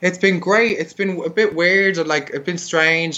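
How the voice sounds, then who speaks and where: A man with a high voice speaks at a fairly slow pace in an Irish accent. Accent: broad Irish (hosts call it UK accent). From Ireland, Dublin. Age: 30s. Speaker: drag queen. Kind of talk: casual interview.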